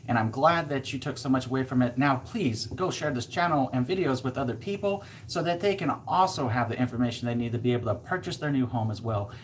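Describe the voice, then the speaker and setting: A very fast male voice of medium pitch, lively in intonation, with hardly any pauses and noticeable background noise. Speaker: real estate agent. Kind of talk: live stream Q&A. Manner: animated.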